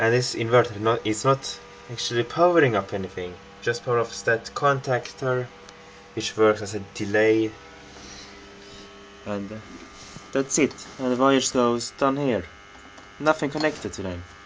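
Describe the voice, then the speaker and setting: Amid noticeable background noise, a man with a non-native accent talks at medium pitch and a moderate pace, with ordinary pitch variation and long, frequent pauses. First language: not English. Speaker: hobbyist video maker. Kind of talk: home tour tutorial. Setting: in his room, filming. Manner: halting.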